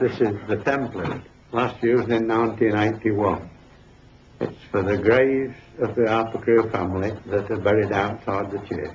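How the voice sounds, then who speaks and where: Amid noticeable background noise and audible room echo, a man with an East Midlands accent talks at a moderate pace in a fairly low pitch with fairly even intonation. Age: 70s. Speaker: estate builder. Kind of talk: interview testimony.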